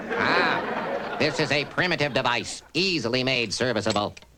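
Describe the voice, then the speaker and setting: A man performs a cartoonish character voice at a medium pitch and a moderate pace. Crowd noise can be heard behind him. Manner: formal, monotone.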